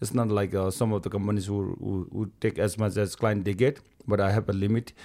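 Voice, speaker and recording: A man's dark, mellow voice at a fairly low pitch and moderate pace, on a very clean recording against a silent background. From Nepal, Rolwaling Valley. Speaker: mountaineer and guiding company owner. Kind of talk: casual interview.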